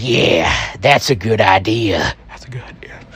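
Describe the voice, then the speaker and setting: Using a put-on character voice, a man with a medium pitch speaks at a fairly slow pace. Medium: solo performance. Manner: taunting, menacing.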